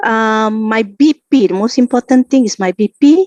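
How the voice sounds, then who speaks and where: A woman's voice, fairly high in pitch, has a dark, mellow tone and ordinary pitch variation, with a dry, close sound and no echo. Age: 50s. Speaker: product user giving testimonial. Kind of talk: testimony. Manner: halting, many fillers.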